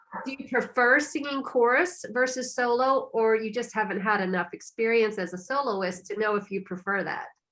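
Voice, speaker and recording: A woman speaks in a plain, everyday voice, fairly high in pitch, with lively intonation, a moderate pace and hardly any pauses. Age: 50s. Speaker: podcast host and fitness instructor. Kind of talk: interview.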